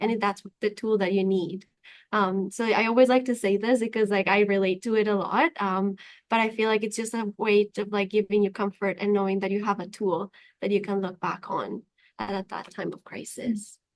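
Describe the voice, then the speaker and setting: Monotone, flat delivery from a woman with a non-native accent against a quiet background. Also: medium pitch for a woman, moderate pace. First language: not English. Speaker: youth mental health advocate. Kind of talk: interview.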